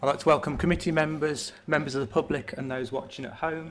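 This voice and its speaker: Through light background noise, a man rattles along at a very fast pace with fairly even intonation. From England. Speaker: committee chair. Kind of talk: formal meeting chairing. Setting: council chamber. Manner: formal. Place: hall. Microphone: podium.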